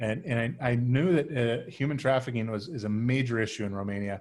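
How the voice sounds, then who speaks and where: This man has a medium pitch, an American accent and ordinary pitch variation, speaking at a moderate pace. The recording is very clean with a silent background. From US Midwest. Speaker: agency CEO. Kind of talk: casual interview.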